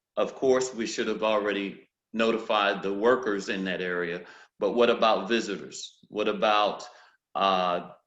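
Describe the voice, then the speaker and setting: Audible room echo surrounds a man speaking at a fairly slow pace. His pitch is fairly low and his intonation fairly even. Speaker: hearing conservation consultant. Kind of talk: webinar presentation. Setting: video call. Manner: halting, many fillers and repeats.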